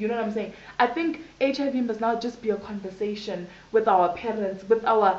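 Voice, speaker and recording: In a room with audible echo, a woman talks at a moderate pace in a fairly high voice. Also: ordinary pitch variation. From South Africa, Johannesburg. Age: 20s. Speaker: HIV/AIDS activist; interviewee. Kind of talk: interview testimony. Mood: earnest, reflective. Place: home room. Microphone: camera far.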